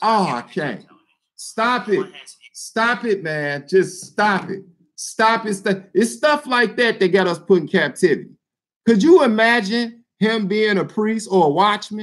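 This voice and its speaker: A man with a high pitch and an animated tone, at a fairly slow pace. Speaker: YouTube commentator. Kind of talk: mocking roast of another channel.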